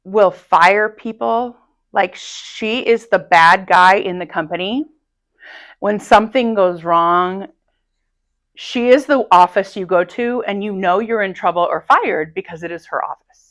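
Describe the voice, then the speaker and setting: A woman speaks at a medium pitch and a fairly slow pace, with long, frequent pauses and big swings in loudness. Her pitch varies in an ordinary way, and the recording is very clean with a silent background. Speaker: high school Spanish teacher. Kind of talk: casual interview. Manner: confident, no stage fright.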